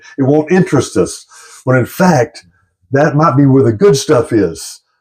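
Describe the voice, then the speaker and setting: The voice is somewhat breathy with lively intonation. The pace is fairly quick. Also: man. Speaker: YouTuber discussing UFOs and spirituality. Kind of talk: casual monologue to camera. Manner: halting, self-described stuttering.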